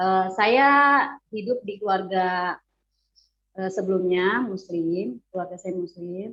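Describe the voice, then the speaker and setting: Very slowly and with long, frequent pauses, a woman speaks at a medium pitch with ordinary pitch variation. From West Java (Bandung), Sundanese. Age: 40s. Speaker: convert giving testimony. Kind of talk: testimony. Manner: hesitant, many fillers.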